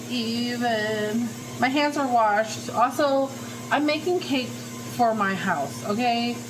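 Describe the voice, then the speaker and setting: A woman with a fairly high pitch and ordinary pitch variation speaks at a fairly slow pace, with audible room echo and noticeable background noise. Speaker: lifestyle vlogger. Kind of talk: casual cooking vlog. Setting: home kitchen. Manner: loud, yelling at times; animated. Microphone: no mic, camera audio.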